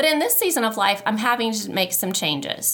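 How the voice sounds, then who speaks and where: Recorded very cleanly against a silent background, a woman speaks with a bright, sharp tone. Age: 40s. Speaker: podcast host and counselor. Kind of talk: casual chat. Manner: conversational.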